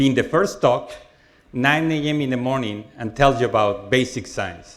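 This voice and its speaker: Music plays in the background as a man talks at a moderate pace with audible room echo. His pitch sits in the medium range and varies in an ordinary way. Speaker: professor. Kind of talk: lecture. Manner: loud.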